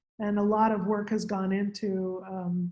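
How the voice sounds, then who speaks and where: A woman speaks at medium pitch, somewhat breathy. Her intonation is monotone and flat. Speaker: scientist presenting on radiocarbon. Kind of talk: lecture.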